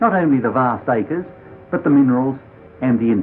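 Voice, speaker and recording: Over music in the background, a man of medium pitch talks at a moderate pace with very wide pitch swings. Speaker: politician. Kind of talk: political speech to camera.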